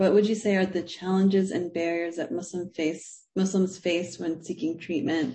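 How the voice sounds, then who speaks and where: A woman speaks at a moderate pace in a fairly low pitch. Her voice is somewhat breathy, with fairly even intonation. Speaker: moderator and professor. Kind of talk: moderating Q&A, casual. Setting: online video event.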